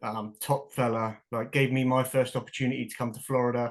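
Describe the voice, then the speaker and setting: A man with a London accent talks at a fairly quick pace. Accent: English, London area. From England. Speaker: professional football kicker. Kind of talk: casual chat. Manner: animated.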